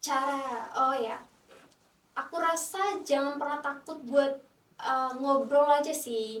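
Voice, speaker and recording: A woman speaks very slowly in a high pitch with a non-native accent. Her pitch variation is ordinary. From Timor-Leste. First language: not Indonesian (speaking Indonesian). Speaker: international student. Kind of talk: podcast interview. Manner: hesitant, many fillers.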